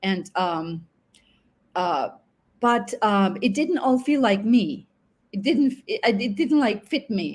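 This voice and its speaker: A woman speaks very slowly at a fairly high pitch, with long, frequent pauses. Her voice is somewhat breathy and swings very widely in pitch. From Finland. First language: Finnish. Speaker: online English teacher. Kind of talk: interview.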